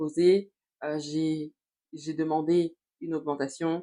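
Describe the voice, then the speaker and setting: This woman's voice is very deep and low in pitch. Her delivery stays monotone and flat. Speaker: youtuber, personal development coach. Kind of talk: motivational vlog monologue. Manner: hesitant, many fillers.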